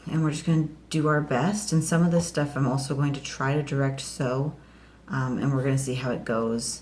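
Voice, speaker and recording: With a very deep, low pitch and ordinary pitch variation, a woman speaks somewhat breathily at a fairly quick pace. Audible room echo surrounds her voice. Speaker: home gardening vlogger. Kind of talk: casual vlog tutorial. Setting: home kitchen. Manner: hesitant, many fillers; quiet, kids asleep nearby.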